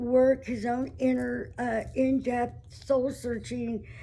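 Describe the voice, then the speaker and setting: With an American accent and a dark, mellow tone, a woman speaks in a fairly high pitch at a very slow pace. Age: 60s. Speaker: vlogger sharing life story. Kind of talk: personal testimony monologue. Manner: casual, hesitant with many fillers.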